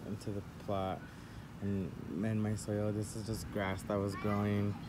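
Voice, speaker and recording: Noticeable background noise sits behind a man speaking at a moderate pace. His voice is fairly low in pitch, with a dark, mellow tone. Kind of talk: casual vlog chat. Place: garden. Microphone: phone near.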